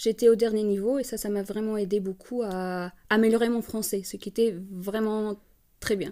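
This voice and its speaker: At a moderate pace, a woman with a fairly high voice, dark and mellow in tone, speaks with monotone, flat intonation. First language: not French (speaking French). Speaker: master's student. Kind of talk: casual interview. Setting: podcast. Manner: halting.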